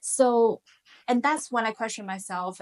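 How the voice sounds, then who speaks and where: A woman with a Chinese accent speaks at a moderate pace, her fairly high pitch showing ordinary variation. The sound is dry and close with no echo. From China, Shanghai. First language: Mandarin Chinese. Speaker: finance professional, immigrant. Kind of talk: interview conversation.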